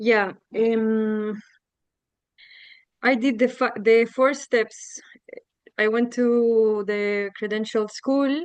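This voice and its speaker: A woman with a Spanish accent speaks in a fairly high voice at a very slow pace. She leaves long, frequent pauses over a quiet background. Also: fairly even intonation. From Chile. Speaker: coach. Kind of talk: casual testimony. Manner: halting.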